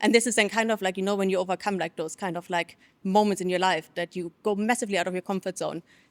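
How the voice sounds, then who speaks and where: In a German accent, a woman talks very fast with fairly even intonation, the sound dry and close with no echo on a very clean recording with a silent background. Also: medium pitch for a woman. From Germany. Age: 30s. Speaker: personal branding consultant. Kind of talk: interview. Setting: studio.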